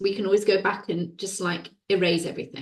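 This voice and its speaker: A woman speaks at a medium pitch. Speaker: women's well-being coach and author. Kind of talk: interview conversation. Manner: slow, deliberate.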